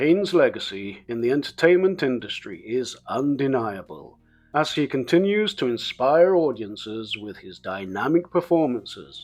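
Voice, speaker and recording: A man with a British accent speaks at a moderate pace. His pitch swings very wide, with music in the background. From England. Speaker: English teacher. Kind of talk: educational biography narration. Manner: clear, measured.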